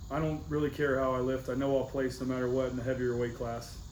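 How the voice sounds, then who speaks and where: In a room with audible echo, a man rattles off words at a very fast pace, his medium pitch held in a monotone, flat intonation. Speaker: powerlifting coach. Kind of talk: team meeting.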